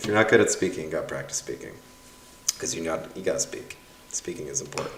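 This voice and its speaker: A man speaks over noticeable background noise. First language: Russian. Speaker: university professor. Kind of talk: livestream reading course evaluations. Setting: livestream with YouTube chat. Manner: casual, animated.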